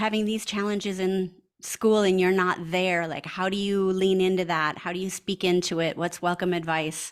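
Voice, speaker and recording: This woman has a medium pitch and a plain, everyday voice. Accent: American. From small-town Wisconsin, US Midwest. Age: 50s. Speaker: pastor. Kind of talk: interview.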